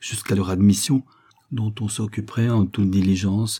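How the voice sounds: A natural reading voice holds to fairly even intonation.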